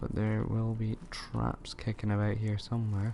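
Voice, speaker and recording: With a Scottish accent, a man speaks at a fairly low pitch. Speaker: gaming streamer. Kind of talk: live gameplay commentary. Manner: casual, halting.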